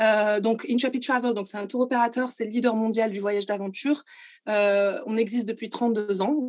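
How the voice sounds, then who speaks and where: With a plain, everyday voice, a woman at a fairly high pitch speaks at a moderate pace with fairly even intonation against a quiet background. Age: 30s. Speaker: tour operator executive. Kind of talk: interview.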